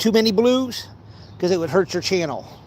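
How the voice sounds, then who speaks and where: The man has a high-pitched voice with an American accent. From Ohio. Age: 40s. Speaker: fishing vlogger. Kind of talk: casual vlog chat while fishing. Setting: outdoors by a pond. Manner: halting, repeating himself.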